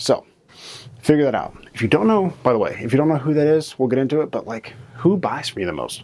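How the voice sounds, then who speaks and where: A man's quiet voice with lively intonation. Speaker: marketing educator. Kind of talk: tutorial. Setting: studio. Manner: somewhat quiet; casual, filler-heavy.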